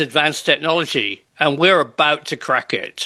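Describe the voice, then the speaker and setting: A man speaks with fairly high pitch and a bright, sharp tone. The background is quiet. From UK. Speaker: UFO researcher and interviewer. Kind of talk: panel discussion.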